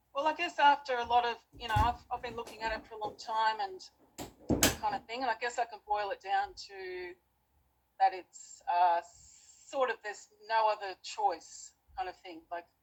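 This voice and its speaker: With an Australian accent, a woman speaks at a moderate pace with lively intonation, big swings in loudness, and long, frequent pauses. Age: 40s. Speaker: debater, channel owner. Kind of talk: debate. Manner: halting.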